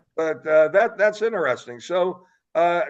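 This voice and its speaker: A man talks in a high pitch with ordinary pitch variation. The background is quiet. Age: 70s. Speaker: political talk show host. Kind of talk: interview. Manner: animated.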